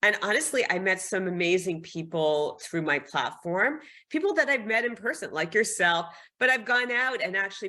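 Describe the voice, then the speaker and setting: Bright and sharp in tone, a woman's medium-pitched voice moves at a moderate pace with lively intonation. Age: 60s. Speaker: fashion and lifestyle influencer, former marketing executive. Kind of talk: podcast interview. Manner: conversational.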